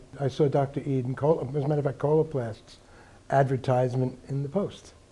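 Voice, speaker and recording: A man's somewhat breathy voice has a dark, mellow tone, fairly high pitch and fairly even intonation. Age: 60s. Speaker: patient giving testimonial. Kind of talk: testimony. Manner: halting, with fillers.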